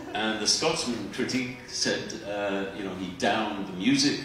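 With clear music behind him and audible room echo, a man talks at a moderate pace with ordinary pitch variation. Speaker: guest. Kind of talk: stage interview answer. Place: stage.

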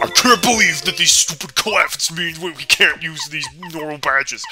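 A put-on character voice at a middle pitch speaks at a moderate pace over clear background noise. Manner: exasperated, indignant.

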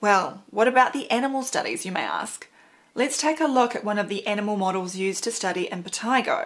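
Rather brisk female speech with normal pitch movement. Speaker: presenter. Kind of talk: scripted explainer commentary. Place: home room.

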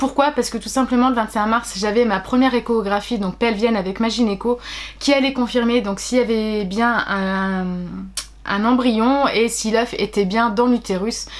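Keeping her intonation fairly even, a woman talks at a fairly slow pace. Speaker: pregnancy vlogger. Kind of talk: casual vlog chat. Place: home room. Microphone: phone near.

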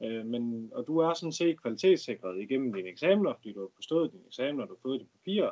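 A man talking at a very fast pace, with big swings in loudness and very wide pitch swings. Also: medium pitch for a man, hardly any pauses. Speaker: student, former fisherman. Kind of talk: casual Q&A.

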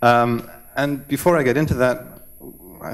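This man speaks with ordinary pitch variation. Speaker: web developer; conference speaker. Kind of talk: conference talk. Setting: stage with audience. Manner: fast. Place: hall. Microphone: podium.

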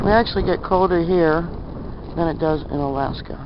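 A woman with a fairly low pitch and ordinary pitch variation speaks at a moderate pace in a dry sound with no echo, over noticeable background noise. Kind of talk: casual vlog chat. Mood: opinionated, matter-of-fact. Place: street. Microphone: phone near.

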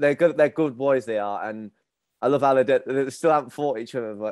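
A man talks at a fairly quick pace with ordinary pitch variation, in dry sound with no echo and a quiet background. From northern England. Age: 30s. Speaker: podcast host, men's mental health group founder; podcast guest. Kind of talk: casual interview chat. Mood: relaxed, friendly. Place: home room. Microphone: video call.

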